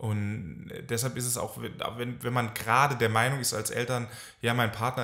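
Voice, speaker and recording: Speaking at a fairly slow pace, a man delivers his words in a monotone, flat intonation. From France, German family. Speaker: psychotherapist. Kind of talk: casual chat.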